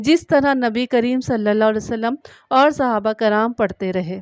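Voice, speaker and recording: In a plain, everyday voice, a woman speaks at a fairly high pitch with ordinary pitch variation, the sound dry and close with no echo over a quiet background. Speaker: voice-over artist. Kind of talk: religious story narration.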